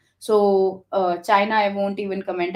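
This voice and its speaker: A woman with an Indian accent, medium in pitch, in monotone, flat intonation. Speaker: developer relations founder. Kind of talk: interview conversation. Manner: hesitant with many fillers.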